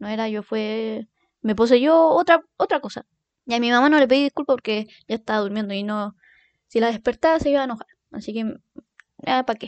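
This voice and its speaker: At a fairly high pitch, a woman talks at a fairly quick pace with ordinary pitch variation, long and frequent pauses, big swings in loudness, and a dry, close sound with no echo. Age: 20s. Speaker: podcast host. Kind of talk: casual monologue. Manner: animated.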